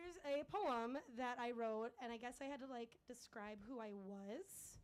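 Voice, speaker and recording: A woman speaks loudly at a fairly slow pace, her high voice full of lively intonation. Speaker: open mic performer. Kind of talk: stand-up. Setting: stage with audience. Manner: halting.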